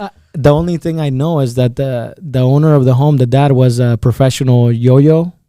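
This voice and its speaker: A man speaks with a Spanish accent. His tone is dark and mellow. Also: medium pitch for a man, fairly even intonation, moderate pace. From El Salvador, San Salvador; moved to Iowa at about 10. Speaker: insurance agent. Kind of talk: podcast interview. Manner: halting, repeats words.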